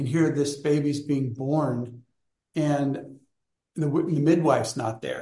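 A man's fairly high, somewhat breathy voice with a dark, mellow tone, fairly even intonation and a very slow pace. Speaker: study group leader and book author. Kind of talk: online study group discussion. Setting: video call.

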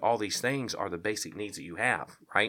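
Over a silent background in a very clean recording, a man talks at a very fast pace with a fairly low pitch and a bright, sharp tone. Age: 40s. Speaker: workplace chaplaincy founder. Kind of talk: casual chat.

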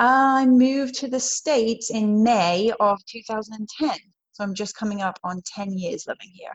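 Somewhat breathy and fairly high in pitch, a woman speaks fairly slowly with ordinary pitch variation and big swings in loudness. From England, Worcestershire. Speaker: Spartan pro racer and personal trainer. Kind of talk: casual interview.

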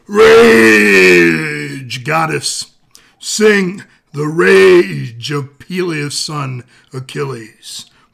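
Raspy and very slow, a man's put-on character voice sits at a medium pitch yet swings very widely. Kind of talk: theatrical. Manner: bombastic, pumped-up.

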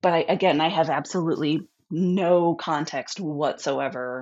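Here is a woman with an American accent and an ordinary speaking voice. Her fairly low pitch carries lively intonation. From US Midwest. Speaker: podcast guest telling a haunting story. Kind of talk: storytelling in a casual interview.

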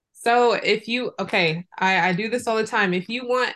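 A plain, everyday voice with fairly even intonation at a moderate pace. The background is quiet. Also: woman. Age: 20s. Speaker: relationship coach. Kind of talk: casual interview. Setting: video call from her closet.

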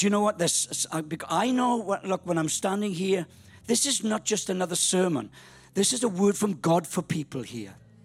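Music plays in the background as a man with a Welsh accent talks at a moderate pace in a high pitch, with ordinary pitch variation. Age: 60s. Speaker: pastor. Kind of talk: sermon. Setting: church. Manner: animated.

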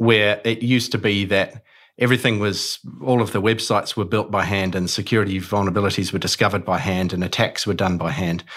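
Over a silent background in a very clean recording, a man with a fairly low pitch speaks very fast with fairly even intonation. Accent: New Zealand. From New Zealand, Auckland. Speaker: cybersecurity company co-founder. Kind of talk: interview.

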